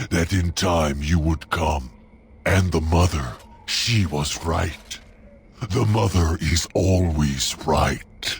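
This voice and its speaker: A man's put-on character voice, growling at a very slow pace in a very deep, low pitch. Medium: video game. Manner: odd broken grammar, formal.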